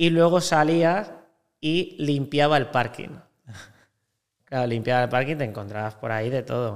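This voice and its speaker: A voice with ordinary pitch variation moves at a fairly slow pace, broken by long, frequent pauses. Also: man, fairly high pitch for a man. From Spain, Valencia. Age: 20s. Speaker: hotel sales broker. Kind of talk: casual interview chat.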